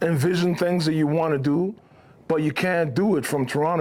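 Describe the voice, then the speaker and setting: With a normal speaking voice, a man speaks at a fairly quick pace and a fairly high pitch. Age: 40s. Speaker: actor and hip hop artist. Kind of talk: casual interview conversation.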